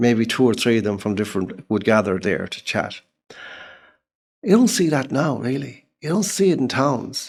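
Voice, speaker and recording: A man speaks at medium pitch. His pitch swings very widely. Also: moderate pace. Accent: Irish. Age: 70s. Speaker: writer and journalist. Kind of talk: casual chat. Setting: in-person interview.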